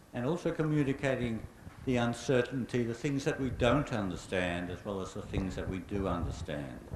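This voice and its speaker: Moderate pace and lively intonation in an Australian accent, with audible room echo. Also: man, medium pitch for a man. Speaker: climate scientist, invited speaker. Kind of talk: public lecture Q&A answer.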